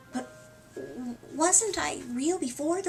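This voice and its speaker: Over clear background noise, a woman speaks in a put-on character voice. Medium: read story.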